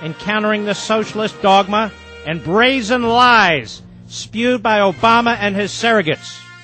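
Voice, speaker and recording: A man's high-pitched voice with lively intonation, music playing in the background. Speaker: political radio host. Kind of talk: political pep talk monologue. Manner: impassioned, rousing.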